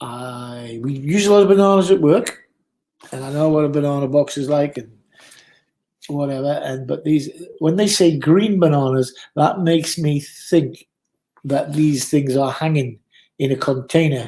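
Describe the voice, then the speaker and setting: A man with a Geordie accent, a dark, mellow tone and a fairly high pitch, ordinary pitch variation and long, frequent pauses. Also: moderate pace. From northern England, Newcastle. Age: 60s. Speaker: former bar owner, live streamer. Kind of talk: casual chat. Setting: live stream.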